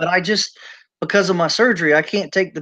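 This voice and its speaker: A man speaks with a high pitch and fairly even intonation. The background is quiet. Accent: Southern US. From US South, Charleston, South Carolina. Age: 40s. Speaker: prepper channel host. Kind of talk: casual chat.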